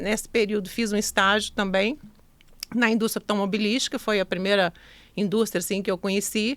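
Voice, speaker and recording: A woman with a Minas Gerais accent, medium in pitch, with fairly even intonation. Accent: Minas Gerais (mineiro). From Minas Gerais, Brazil (Zona da Mata). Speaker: entrepreneur. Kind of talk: podcast interview.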